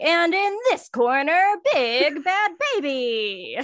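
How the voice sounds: A woman's high-pitched, put-on character voice at a very slow pace, with very wide pitch swings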